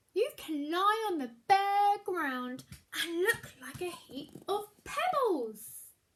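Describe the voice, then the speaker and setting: A woman's put-on character voice, extremely high in pitch, with very wide pitch swings, big swings in loudness and a very slow pace. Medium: read story. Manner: practical, calm.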